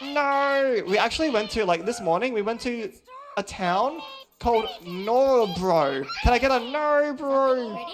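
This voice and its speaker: Noticeable background noise accompanies a voice talking at a fairly slow pace. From Australia. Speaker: speedrunner. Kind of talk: live speedrun commentary. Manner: casual, hesitant with many ums.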